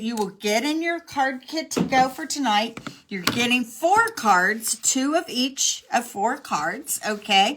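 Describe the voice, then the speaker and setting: Very wide pitch swings at a fairly slow pace, hardly any pauses, and noticeable background noise. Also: woman. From Texas. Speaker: craft demonstrator. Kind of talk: live craft tutorial. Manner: chatty.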